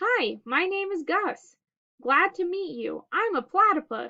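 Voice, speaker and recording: A woman puts on a squeaky character voice at an extremely high pitch, with very wide pitch swings. She speaks at a fairly slow pace. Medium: read story.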